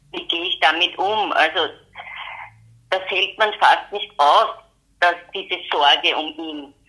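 A woman speaks at a very slow pace with long, frequent pauses. Her intonation stays fairly even while her loudness swings widely. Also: medium pitch for a woman. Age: 60s. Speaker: retired pediatric nurse and mother of a son with mental illness. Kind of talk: interview, personal testimony.

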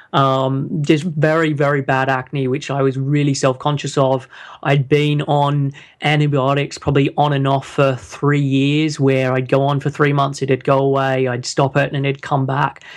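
Speaking at a moderate pace in an Australian accent, a man keeps a fairly high pitch and a monotone, flat intonation. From Australia, Sydney. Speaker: health coach. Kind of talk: interview. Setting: call.

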